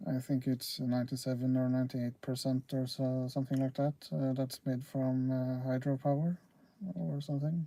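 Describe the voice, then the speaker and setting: This speaker uses a Norwegian accent and moves at a moderate pace. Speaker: railfan livestreamer. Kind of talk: casual livestream chat. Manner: halting, many fillers.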